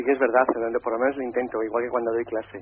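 A man talks at a very fast pace with little pitch movement. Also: medium pitch for a man.

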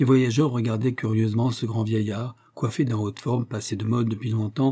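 Natural-voiced reading aloud with fairly even intonation.

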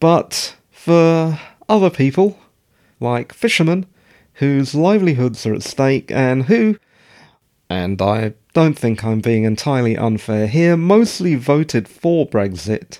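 A man with a British accent speaks at a very slow pace, his fairly high pitch making very wide swings. His tone is dark and mellow, on a very clean recording with a silent background. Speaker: podcast host. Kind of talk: casual monologue. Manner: rambling, conversational.

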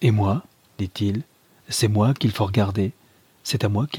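Someone reads aloud in a natural voice, the intonation fairly even.

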